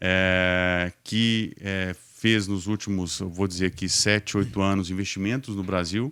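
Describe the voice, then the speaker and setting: In a Minas Gerais accent, a man speaks at a fairly slow pace and a fairly low pitch. His intonation is fairly even, on a very clean recording with a silent background. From Minas Gerais, Brazil. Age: 40s. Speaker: logistics executive. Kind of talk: podcast interview. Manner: hesitant, many fillers.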